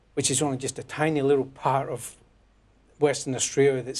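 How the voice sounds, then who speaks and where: In a Scottish accent, a man talks at medium pitch with monotone, flat intonation. The background is quiet. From Scotland, near Glasgow. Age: 60s. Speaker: newly elected politician, former electrician. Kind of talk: interview. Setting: studio.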